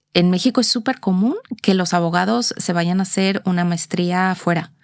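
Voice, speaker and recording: On a very clean recording with a silent background, a woman with a Mexican accent speaks in a fairly low pitch. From Mexico, Mexico City. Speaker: corporate lawyer. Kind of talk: interview. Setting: in person, seated facing host.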